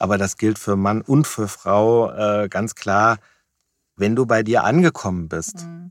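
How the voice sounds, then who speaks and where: On a very clean recording with a silent background, a man speaks very slowly at a fairly low pitch. His intonation is lively, and the sound is dry and close with no echo. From Germany, Wiesbaden. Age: 50s. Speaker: business consultant. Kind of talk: interview conversation. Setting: small recording box. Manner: hesitant with fillers.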